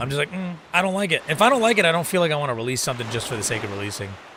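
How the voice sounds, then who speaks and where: A man talks very fast in an animated tone with very wide pitch swings and audible room echo. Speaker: gaming streamer. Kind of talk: casual live-stream chat while gaming. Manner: fast talker.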